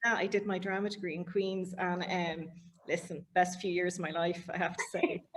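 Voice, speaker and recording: A woman with an Irish accent talks at a moderate pace and medium pitch, her intonation monotone and flat. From Ireland, Dublin and Galway. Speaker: interviewer. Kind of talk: interview.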